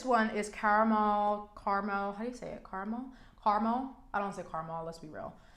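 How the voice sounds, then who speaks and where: A woman with a medium pitch talks in a space with audible room echo. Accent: New York. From New York. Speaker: beauty vlogger. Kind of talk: makeup tutorial chat. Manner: casual, filler-heavy; animated.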